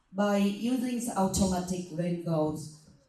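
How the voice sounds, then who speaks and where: Against noticeable background noise, a woman with a fairly low pitch speaks at a fairly slow pace. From Vietnam. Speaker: panelist, disaster management official. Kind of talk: panel presentation. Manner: halting, some fillers.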